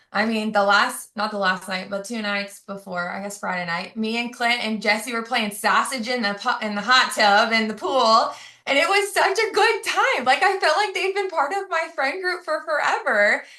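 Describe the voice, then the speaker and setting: The speaker moves at a moderate pace with hardly any pauses and very wide pitch swings. Background noise is noticeable throughout. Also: woman, fairly high pitch for a woman. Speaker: teacher on a sales team call. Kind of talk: testimony.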